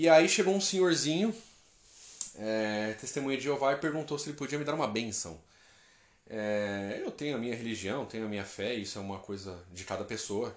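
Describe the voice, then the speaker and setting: Animated in tone, a man speaks at a moderate pace and medium pitch with lively intonation. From interior of São Paulo state, Brazil. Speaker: travel podcaster. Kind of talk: casual storytelling monologue. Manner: animated, slangy.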